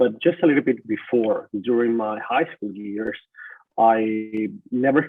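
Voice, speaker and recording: With a Spanish accent, a man of medium pitch talks at a moderate pace with ordinary pitch variation. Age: 30s. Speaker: journalist. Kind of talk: webinar talk. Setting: webinar.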